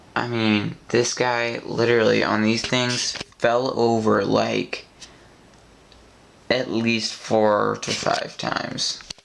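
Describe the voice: The pace is slow, with little pitch movement and vocal fry in a fairly bright tone. Audible room echo surrounds the voice.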